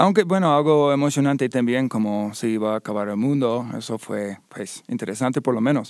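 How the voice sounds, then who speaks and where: With an American accent, a man at medium pitch speaks at a fairly quick pace with ordinary pitch variation and hardly any pauses, on a very clean recording with a silent background. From Ohio, US. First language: English (speaking Spanish). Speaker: army veteran, art student, volunteer. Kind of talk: interview testimony. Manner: halting.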